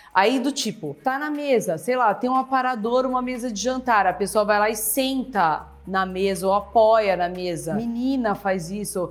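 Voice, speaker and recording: A woman's voice sits at a medium pitch, animated in tone, with ordinary pitch variation. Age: 50s. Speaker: YouTuber. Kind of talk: casual vlog monologue.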